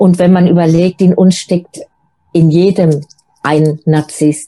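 Her tone is dark and mellow, with a fairly low pitch. This woman speaks at a fairly slow pace in a monotone, flat intonation. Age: 50s. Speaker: single coach. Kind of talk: interview.

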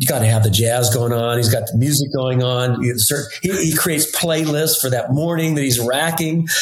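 A man at medium pitch and moderate pace, with hardly any pauses, ordinary pitch variation, very even loudness, audible room echo and noticeable background noise. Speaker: winemaker. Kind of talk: casual chat.

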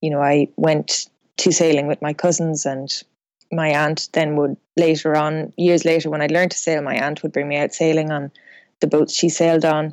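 A woman's very deep, low voice in a western Irish accent, flat and monotone at a moderate pace, with a dry, close sound with no echo and a quiet background. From west of Ireland. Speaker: professional sailor. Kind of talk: casual interview.

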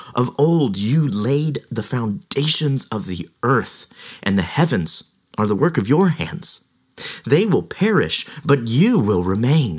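Very slowly and with vocal fry, a man talks at a medium pitch that makes very wide swings. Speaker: podcast host. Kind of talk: scripture reading; devotional commentary. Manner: solemn, slow, reverent; formal, measured.

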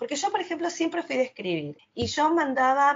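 A woman's somewhat breathy voice in a Rioplatense accent, at a moderate pace, with very wide pitch swings. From Argentina, Quilmes (Buenos Aires province). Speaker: English teacher and travel influencer. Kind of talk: interview.

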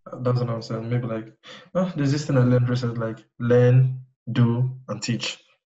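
This man has a strong Nigerian accent and a medium-pitched voice. He speaks fairly quickly with fairly even intonation. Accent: thick Nigerian. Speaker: web designer. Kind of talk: casual chat. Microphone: iPhone earbud mic, poor audio quality.

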